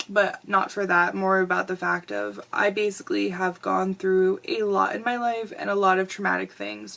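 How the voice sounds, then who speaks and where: A woman speaks at a moderate pace with hardly any pauses. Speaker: vlogger. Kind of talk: personal storytime vlog.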